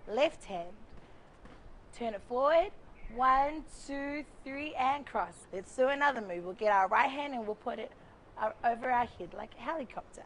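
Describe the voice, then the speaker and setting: Upbeat and lively in intonation, a woman with a New Zealand accent speaks at a high pitch and a moderate pace, with big swings in loudness, long, frequent pauses, and light background noise. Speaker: cultural performer and instructor; instructor. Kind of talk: tutorial. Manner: upbeat, counting rhythmically. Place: garden. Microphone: lapel.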